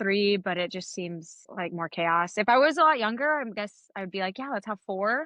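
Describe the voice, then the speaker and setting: In an American accent, a woman with an unremarkable speaking voice talks at a moderate pace and medium pitch with lively intonation. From Napa, California. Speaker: periodontist. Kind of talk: casual chat.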